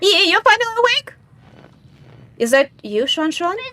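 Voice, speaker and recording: Against noticeable background noise, a woman talks at a fairly quick pace with very wide pitch swings. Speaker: vtuber game streamer. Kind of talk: let's play commentary with read-aloud game dialogue. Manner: soft-spoken.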